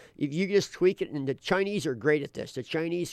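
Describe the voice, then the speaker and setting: A man talking at a very fast pace with lively intonation. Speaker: podcast host. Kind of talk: casual chat. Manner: animated.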